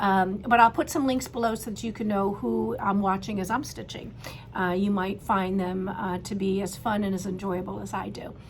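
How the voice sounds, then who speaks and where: There is noticeable background noise and audible room echo. A woman speaks at a medium pitch. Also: ordinary pitch variation, moderate pace. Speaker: cross stitch video host. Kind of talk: casual show-and-tell chat. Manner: hesitant, many fillers.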